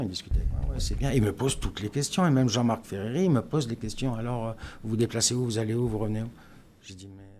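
A man talking at a very fast pace, with big swings in loudness over light background noise. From France, Strasbourg; France. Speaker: former footballer. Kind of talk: casual chat. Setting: studio. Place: studio. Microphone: studio mic.

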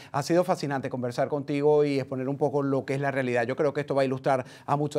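Against a quiet background, a man with a fairly high voice talks at a very fast pace with hardly any pauses. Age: 50s. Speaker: TV news host. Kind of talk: live TV interview. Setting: studio. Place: studio.

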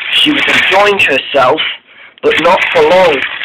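The text is read aloud. It comes in an unforced reading voice.

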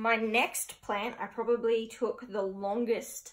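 This woman has a fairly high pitch and an Australian accent. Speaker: plant collector and video creator; video creator. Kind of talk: casual vlog haul. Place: home room. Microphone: camera far.

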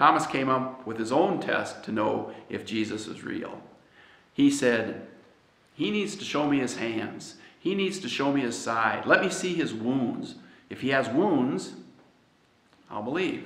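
With audible room echo, a man in an American accent speaks at a medium pitch and fairly slow pace, lively in intonation and broken by long, frequent pauses. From United States. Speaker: pastor. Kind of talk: sermon. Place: church.

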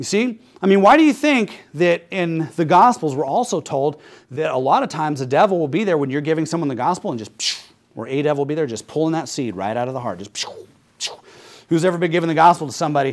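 Someone talks at a very fast pace with lively intonation, in an American accent. The background is quiet. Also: man. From United States. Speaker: Baptist pastor. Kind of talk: sermon preaching to congregation. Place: church.

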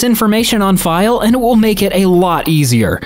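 Behind the talking, there is noticeable background noise. The voice belongs to a woman. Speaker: narrator reading online posts. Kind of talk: reading aloud.

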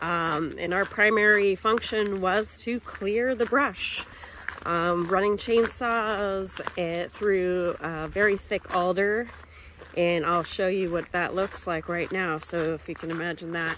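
The woman speaks with an American accent at a very slow pace, with ordinary pitch variation. The sound is dry with no echo, over light background noise. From Montana. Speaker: career counseling organization director. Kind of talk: vlog narration. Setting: outdoors. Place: open country. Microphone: phone near.

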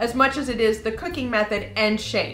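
A woman at a fairly quick pace, audible room echo, faint music in the background. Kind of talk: tutorial. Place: kitchen.

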